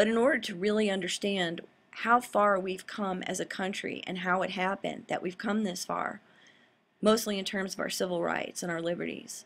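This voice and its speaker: At a fairly quick pace, a woman talks at a medium pitch with fairly even intonation. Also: very clean recording, silent background. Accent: Southern US. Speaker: political commentary vlogger, law school graduate. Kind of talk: casual monologue commentary. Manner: rambling, unscripted.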